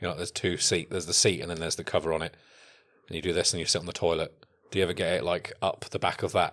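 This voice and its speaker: The talking is very fast and monotone, with flat intonation. The recording is very clean, with a silent background. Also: man, very deep, low pitch for a man. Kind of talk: casual chat, comedic banter. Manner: joking, teasing.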